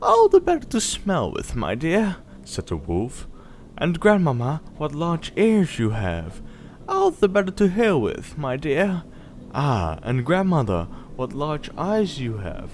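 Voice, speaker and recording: The speaker moves at a fairly slow pace with very wide pitch swings. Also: man. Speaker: storyteller. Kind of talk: bedtime story reading. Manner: calm, soft-spoken.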